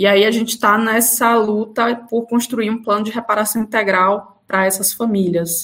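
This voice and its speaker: Her intonation is monotone and flat. The woman talks at a moderate pace. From Bahia interior, Brazil. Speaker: law professor. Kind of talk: interview. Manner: hesitant fillers.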